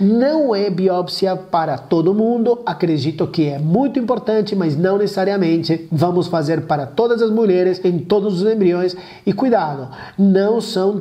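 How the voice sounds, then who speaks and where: In a quiet background, a man speaks at a high pitch with ordinary pitch variation. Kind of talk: educational explainer to camera. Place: home room. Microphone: lapel.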